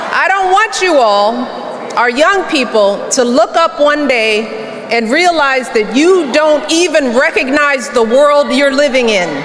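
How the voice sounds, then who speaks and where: A woman with a warm tone and high pitch speaks at a fairly slow pace, with lively intonation and very even loudness over noticeable background noise. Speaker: former First Lady, political speaker. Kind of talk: political rally speech. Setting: live rally, large crowd. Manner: warm, conversational, earnest.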